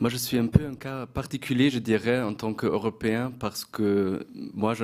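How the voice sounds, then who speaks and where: Using fairly even intonation, a man speaks at a fairly slow pace with a medium pitch. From Germany, Bavaria (born in Poland). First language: German (speaking French). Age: young. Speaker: journalist and lecturer. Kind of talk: panel discussion. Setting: stage with audience. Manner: hesitant.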